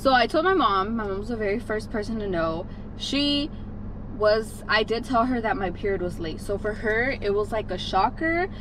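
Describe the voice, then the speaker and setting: With lively intonation and a fairly high pitch, a woman speaks in a room with audible echo and noticeable background noise. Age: 20s. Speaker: vlogger. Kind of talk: casual vlog storytelling. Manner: chatty, fast.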